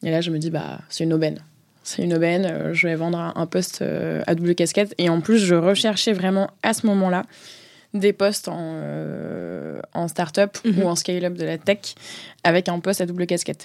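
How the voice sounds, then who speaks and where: Her fairly low voice stays in a flat monotone. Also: moderate pace. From southern France, Marseille. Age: 20s. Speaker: in-house legal counsel. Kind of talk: interview. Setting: studio.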